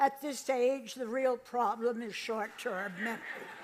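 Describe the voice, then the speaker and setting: A high-pitched woman's voice with an American accent, very slow and fairly even in intonation. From US Northeast, Boston area. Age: 90s. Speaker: comedian. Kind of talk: stand-up. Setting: stage with audience.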